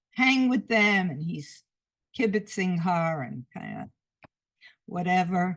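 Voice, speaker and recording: A woman with a New York accent talks at a moderate pace. Her somewhat breathy voice moves through very wide pitch swings. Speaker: photographer. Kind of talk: illustrated talk. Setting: video call. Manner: halting.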